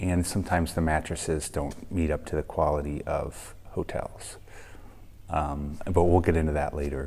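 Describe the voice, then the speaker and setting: A quiet man's very deep, low voice with a dark, mellow tone, monotone and flat, at a moderate pace. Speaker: travel vlogger. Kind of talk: casual vlog talk to camera. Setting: hostel room, early morning. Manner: quiet, kept low; hesitant, many ums.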